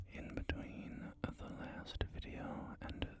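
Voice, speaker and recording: The words come out as a whisper, very slowly. Behind them, background noise is noticeable. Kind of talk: ASMR gameplay commentary. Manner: whispered.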